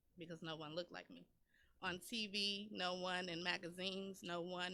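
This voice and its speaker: Her voice is fairly low in pitch, with a bright, sharp tone and monotone, flat intonation. The woman speaks with an American accent. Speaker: poet. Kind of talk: spoken word poetry performance; casual radio chat. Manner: storytelling, narrating; sassy.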